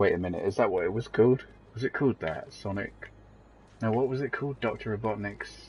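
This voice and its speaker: A man with a British accent, fairly low in pitch, with vocal fry. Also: ordinary pitch variation, fairly quick pace. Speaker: gaming streamer. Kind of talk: live game commentary. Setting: live stream. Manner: halting, many fillers.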